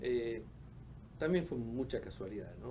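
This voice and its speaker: Audible room echo hangs on this man's speech. He delivers it at a fairly slow pace. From Argentina, Patagonia (Caleta Olivia, Santa Cruz). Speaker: oceanographer. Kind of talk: interview. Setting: studio. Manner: halting, many fillers.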